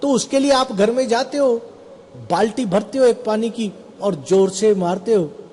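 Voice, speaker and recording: Against noticeable background noise, a man speaks at a high pitch with ordinary pitch variation. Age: 60s. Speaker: health seminar presenter. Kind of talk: seminar talk.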